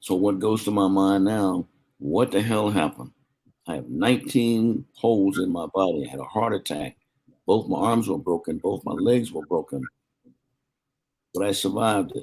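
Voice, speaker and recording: Lively in intonation, a man with an American accent talks at a moderate pace in a fairly low pitch with vocal fry and long, frequent pauses. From US South, South Carolina. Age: 80s+. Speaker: war veteran. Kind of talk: interview.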